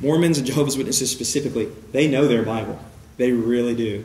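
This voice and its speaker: A man at a medium pitch talks at a very fast pace with ordinary pitch variation. Noticeable background noise is present. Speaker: church evangelism teacher. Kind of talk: lecture. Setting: church with audience. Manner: preaching style.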